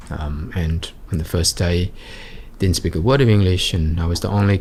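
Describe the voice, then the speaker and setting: In an Australian accent, a man with a very deep, low pitch talks at a moderate pace, sounding somewhat breathy. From Australia, Sydney's western suburbs. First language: Vietnamese. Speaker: entrepreneur. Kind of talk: interview. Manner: halting.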